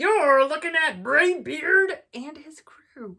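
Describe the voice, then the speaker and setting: Using a put-on character voice, a woman speaks very slowly, loud and gruff. Her pitch is extremely high. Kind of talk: bedtime story. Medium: read story. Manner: gruff, loud, pirate talk.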